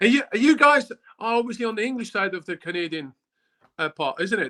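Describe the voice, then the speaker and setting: A man speaks in a raised, projected voice, high in pitch with a bright, sharp tone. His intonation is lively and his pace fairly quick, in a dry, close sound with no echo. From Switzerland. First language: German. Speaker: former professional footballer. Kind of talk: casual interview.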